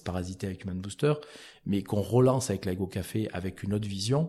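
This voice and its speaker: The man's pitch is fairly low. His tone is dark and mellow. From France, Cantal (Auvergne). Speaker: entrepreneur. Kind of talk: interview. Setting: at his café venue.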